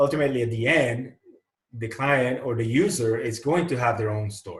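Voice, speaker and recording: This man speaks at a fairly quick pace and sounds somewhat breathy. His pitch varies in an ordinary way. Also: medium pitch for a man. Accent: Puerto Rican. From Puerto Rico. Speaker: architect. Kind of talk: interview. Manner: hesitant, with many fillers.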